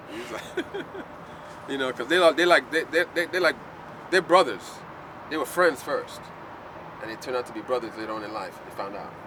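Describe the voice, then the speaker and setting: A man's fairly high voice with an American accent, fairly quick and lively, with big swings in loudness, long, frequent pauses and noticeable background noise. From US Virgin Islands (St Croix). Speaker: artist and set designer. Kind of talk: casual chat. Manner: animated.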